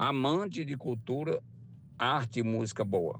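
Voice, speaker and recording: A very slow man with a Ceará accent, vocal fry and lively intonation. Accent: Ceará countryside speech. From rural Ceará, Brazil. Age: 60s. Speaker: retired worker, driver. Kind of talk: recorded testimony.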